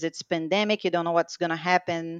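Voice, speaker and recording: A woman with a Brazilian accent and fairly low pitch, in a dry, close sound with no echo against a quiet background. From Brazil, Rio de Janeiro. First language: Portuguese. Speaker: bilingual professional, mother. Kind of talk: interview. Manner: upbeat.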